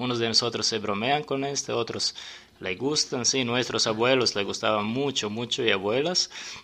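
Someone speaks with a Serbian accent over noticeable background noise. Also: man, medium pitch for a man, ordinary pitch variation, moderate pace. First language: Serbian (speaking Spanish). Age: 40s. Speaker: sommelier and restaurant owner. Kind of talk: radio interview. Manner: halting.

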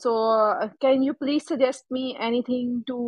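A woman with a non-native accent speaks fairly slowly at a high pitch with fairly even intonation. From Pakistan. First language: not English. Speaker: caller. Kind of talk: casual chat seeking advice. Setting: live audio room. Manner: halting.

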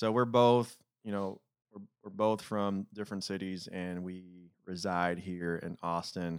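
A man's very deep, low voice in an American accent, fairly slow, with fairly even intonation and big swings in loudness. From Detroit, Michigan. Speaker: podcast host. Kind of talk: casual chat. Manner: conscientious about enunciation, tries not to mumble.

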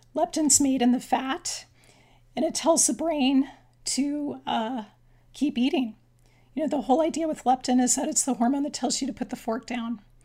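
Pausing long and often, a woman speaks at a moderate pace in a high voice with fairly even intonation. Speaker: physician and author. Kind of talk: interview.

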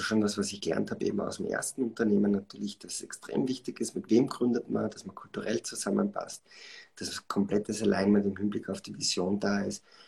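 The loudness swings widely as the words come at a fairly quick pace. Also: man. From Austria, Styria (Schladming). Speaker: startup founder and CEO. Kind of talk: live podcast interview. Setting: live online stream. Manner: many filler sounds and self-corrections.

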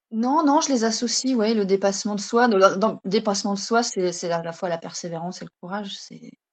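A woman with an ordinary speaking voice talks at a medium pitch with ordinary pitch variation. Her loudness swings widely. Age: 30s. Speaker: stay-at-home mother and naturopathy trainee. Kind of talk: interview.

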